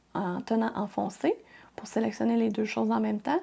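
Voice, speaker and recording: A woman with a Quebec accent at a fairly quick pace. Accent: Québécois French. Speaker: crafting tutorial youtuber. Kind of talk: software tutorial. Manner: casual, friendly.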